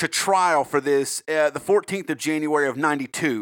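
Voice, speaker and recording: Speaking at a fairly quick pace, a man with a Southern US accent comes through dry and close with no echo on a very clean recording with a silent background. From South Carolina. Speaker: true crime podcast host. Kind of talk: casual, profane chat with storytelling.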